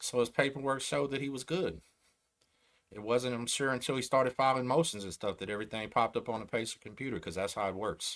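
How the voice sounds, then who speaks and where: A man with a Texan accent, medium pitch and ordinary pitch variation, in a very clean recording with a silent background. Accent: Texan, slow drawl. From Texas. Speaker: YouTube host, former gang member and prisoner. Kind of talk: livestream commentary. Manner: casual, conversational.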